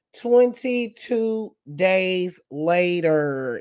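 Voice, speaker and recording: This is a cartoonish character voice that sounds female. Its pitch sits at a medium level for a woman. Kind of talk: exaggerated cartoon narration.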